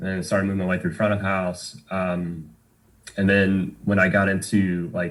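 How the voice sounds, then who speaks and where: Speaking at a moderate pace with fairly even intonation, a man with a very deep, low voice has a slight Southern US accent. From Tennessee, Knoxville area. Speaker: bartender and musician. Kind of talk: podcast interview. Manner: casual, many fillers.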